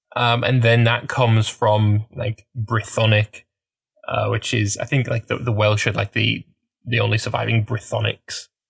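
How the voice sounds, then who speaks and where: Dry and close with no echo, a man's voice moves at a moderate pace. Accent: Teesside. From northern England, Middlesbrough. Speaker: podcast co-host. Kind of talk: casual chat. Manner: halting.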